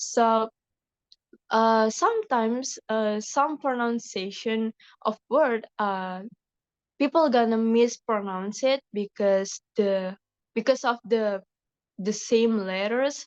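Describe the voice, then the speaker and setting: A woman speaks at a very slow pace with long, frequent pauses and a fairly high pitch. The sound is dry and close with no echo, over a quiet background. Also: ordinary pitch variation. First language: Indonesian. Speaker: university student. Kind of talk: class group discussion. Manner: halting, many fillers.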